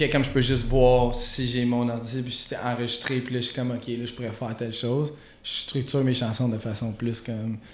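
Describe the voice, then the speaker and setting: A man at a medium pitch, fairly quick and monotone with flat intonation, amid audible room echo and noticeable background noise. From Quebec, Gatineau. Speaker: rapper. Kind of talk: casual chat.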